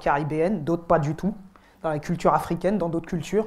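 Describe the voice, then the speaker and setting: The recording is very clean, and the background is silent. The woman talking has a very deep, low pitch. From French Antilles. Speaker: rapper. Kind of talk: interview in seminar. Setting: university seminar with students.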